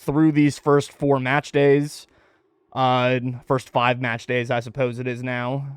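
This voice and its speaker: The speaker is a man with a fairly high pitch. He talks at a fairly slow pace. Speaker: esports podcast host. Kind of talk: live-streamed podcast monologue. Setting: home, streamed live on Twitch. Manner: loud.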